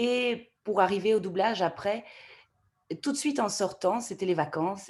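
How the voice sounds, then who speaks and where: At a moderate pace, this woman has a plain, everyday voice with ordinary pitch variation. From Canada. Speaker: voice actor. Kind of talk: interview answer.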